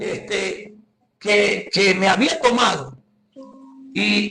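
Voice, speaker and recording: Speaking with a Venezuelan accent, a man uses a high voice with ordinary pitch variation. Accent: Guárico Venezuelan accent, noticeable. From Guárico, Venezuela. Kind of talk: testimony. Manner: halting, many repetitions and fillers.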